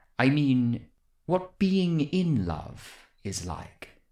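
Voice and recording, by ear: A woman uses a put-on character voice, extremely low in pitch with big pitch swings and a slightly mellow tone. She speaks very slowly on a very clean recording with a silent background.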